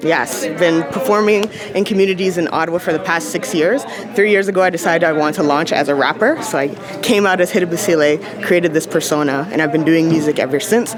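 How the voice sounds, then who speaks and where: A woman talks at a very fast pace and a fairly low pitch, with ordinary pitch variation and very even loudness. Music plays in the background, and the room echo is audible. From Barbados. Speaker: rapper and spoken word poet. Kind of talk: interview. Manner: energetic.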